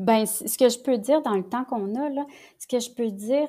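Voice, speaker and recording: A woman in a Quebec accent speaks at a fairly slow pace. Her tone is dark and mellow, with fairly even intonation. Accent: Québécois French. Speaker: lawyer and family mediator. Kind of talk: casual interview conversation. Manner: halting, repeats words.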